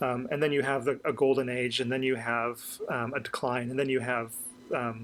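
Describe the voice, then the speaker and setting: At a moderate pace, a man with an American accent speaks at a medium pitch in a monotone, flat intonation. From US and UK. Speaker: podcast co-host. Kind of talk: casual chat. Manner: halting, many fillers.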